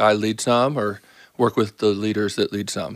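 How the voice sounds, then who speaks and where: A man with an American accent uses an ordinary speaking voice at medium pitch, keeping a moderate pace and fairly even intonation. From US, Baltimore. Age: 50s. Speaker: pastor. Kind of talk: casual interview.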